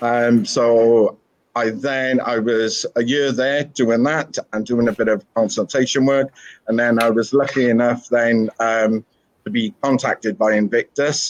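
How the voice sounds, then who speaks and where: A man speaks at a fairly slow pace with a slight Welsh accent and fairly even intonation. His loudness stays very even, and the sound is dry and close with no echo. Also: medium pitch for a man. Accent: slight Welsh twang. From Wales. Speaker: school principal. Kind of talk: interview. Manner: hesitant, many fillers.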